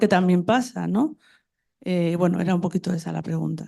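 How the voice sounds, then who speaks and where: Against a quiet background, a woman with a dark, mellow tone talks at a fairly quick pace. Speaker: audience member asking question. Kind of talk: conference Q&A question. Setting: conference hall with audience.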